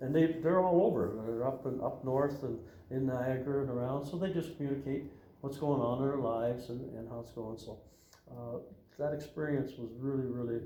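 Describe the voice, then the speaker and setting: A man with an Ontario accent talks at a fairly quick pace in a medium pitch, with ordinary pitch variation. Noticeable background noise and audible room echo fill the recording. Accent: Canadian (Ontario). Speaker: Freemason lodge official. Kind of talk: interview. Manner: halting, many fillers.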